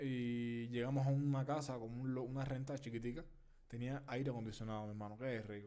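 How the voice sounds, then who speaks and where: With a Cuban accent, a man talks at a fairly quick pace and medium pitch, his dark, mellow tone flat and monotone amid audible room echo. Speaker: podcast co-host. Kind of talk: casual chat.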